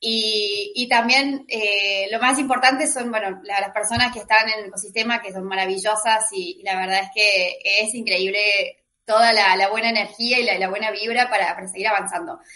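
Loudness swings widely as a woman with a fairly high pitch speaks at a moderate pace with fairly even intonation. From Argentina. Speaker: lawyer and crypto writer. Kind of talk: panel debate. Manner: halting with repetitions.

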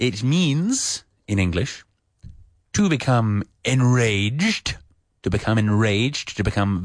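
With a British accent, a man speaks very slowly at a very even loudness, his pitch varying in an ordinary way against a quiet background. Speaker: English teacher, radio host. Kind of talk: educational radio lesson. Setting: studio. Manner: hesitant, with many fillers; friendly, humorous.

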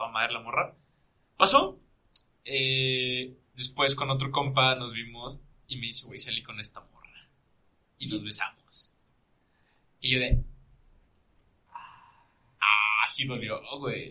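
Medium-pitched male voice at a very slow pace, with long, frequent pauses, fairly even intonation, and big swings in loudness. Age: 20s. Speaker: podcast guest. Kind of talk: casual chat.

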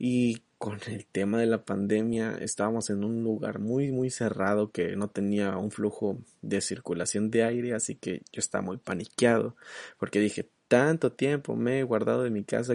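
A soft-spoken man talks with ordinary pitch variation. The background is quiet. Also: dry, close sound with no echo. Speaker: solo podcast host. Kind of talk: casual monologue.

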